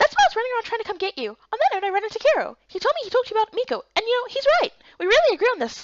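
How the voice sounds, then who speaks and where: In a put-on character voice, a woman squeaks at an extremely high pitch, racing at a very fast pace with lively intonation. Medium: fan dub.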